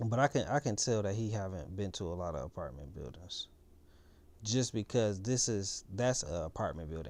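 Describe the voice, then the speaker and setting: Very deep, low male voice with vocal fry and lively intonation at a moderate pace, on a very clean recording with a silent background. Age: 30s. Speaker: reaction video host. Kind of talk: reaction commentary.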